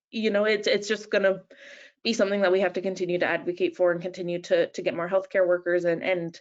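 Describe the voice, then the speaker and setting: In a Canadian accent, a woman speaks at a very fast pace with a medium pitch and fairly even intonation. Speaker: nurse and patient support manager, webinar presenter. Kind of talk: webinar presentation. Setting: online webinar. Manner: hesitant, many fillers.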